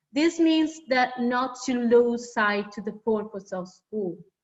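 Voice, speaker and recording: With a non-native accent, a woman speaks fairly slowly in a high voice with ordinary pitch variation. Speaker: academic panelist. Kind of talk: reading aloud. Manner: halting.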